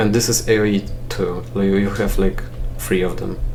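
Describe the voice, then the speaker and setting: Noticeable background noise and audible room echo around a man's lively intonation. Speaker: gaming let's play creator. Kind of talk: casual gameplay commentary. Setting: at home alone. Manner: halting, frequent pauses and fillers; chill, not loud.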